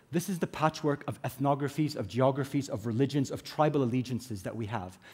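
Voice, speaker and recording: Somewhat breathy and fairly high-pitched, a man with an American accent speaks with ordinary pitch variation. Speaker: conference speaker, business executive. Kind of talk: conference talk. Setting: stage with audience.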